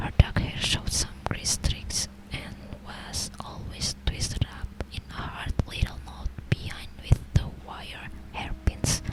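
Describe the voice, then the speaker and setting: Whispering at a very slow pace, a woman's loudness swings widely against noticeable background noise. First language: not English. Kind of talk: ASMR book reading. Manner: soft, slow, hesitant, stumbling over words.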